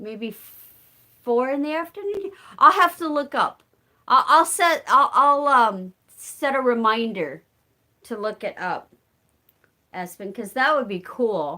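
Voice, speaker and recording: A woman with an American accent, high-pitched with a bright, sharp, animated tone, very wide pitch swings and big swings in loudness, at a fairly slow pace with long, frequent pauses. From southern Illinois, rural. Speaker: live-stream chat host. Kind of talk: casual live chat. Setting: live stream.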